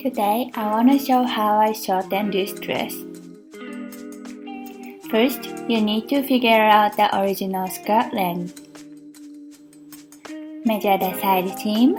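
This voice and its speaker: Very slowly, with long, frequent pauses, a woman talks in a fairly high voice with ordinary pitch variation while music plays in the background. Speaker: seamstress. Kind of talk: sewing tutorial narration.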